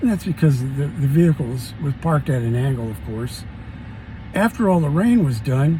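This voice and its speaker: The speaker talks at a moderate pace with lively intonation over noticeable background noise. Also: man, fairly high pitch for a man. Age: 70s. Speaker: car owner making a DIY repair video. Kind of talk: casual how-to explanation. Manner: halting, many fillers and repeats.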